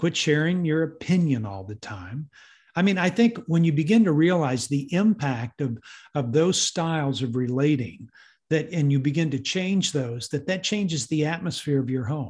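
A man speaks with a Texan accent, somewhat breathy and with lively intonation, against a quiet background. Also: fairly high pitch for a man, moderate pace. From Texas. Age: 60s. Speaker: parenting ministry leader. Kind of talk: interview. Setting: video call.

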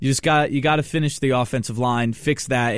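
On a very clean recording with a silent background, an unremarkable speaking voice goes at a fairly quick pace. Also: man. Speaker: college radio host. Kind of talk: sports talk radio. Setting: studio.

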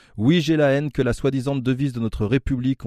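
A man's medium-pitched, dark and mellow voice at a fairly quick pace, with fairly even intonation, in a dry, close, echo-free and very clean recording with a silent background. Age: 40s. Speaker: film podcast panelist, former teacher. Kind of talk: impassioned commentary segment.

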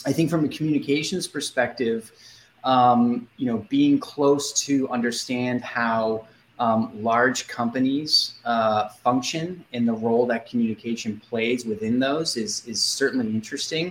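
A man with a normal speaking voice and an American accent, medium-pitched, fairly slow, with ordinary pitch variation. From US Northeast, Boston. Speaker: communications agency executive. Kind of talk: interview.

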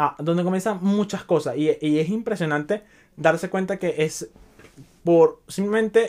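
A man with a Venezuelan accent. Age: 20s. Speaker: podcaster. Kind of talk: casual monologue.

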